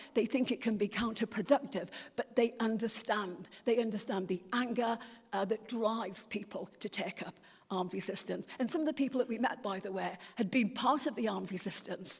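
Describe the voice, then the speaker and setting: Against noticeable background noise, the speaker uses an English accent with ordinary pitch variation. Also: woman, fairly high pitch for a woman, fairly quick pace. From England. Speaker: speaker on a delegation to Palestine. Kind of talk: talk at a church meeting. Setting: church hall meeting with audience. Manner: hesitant, many fillers and repeats.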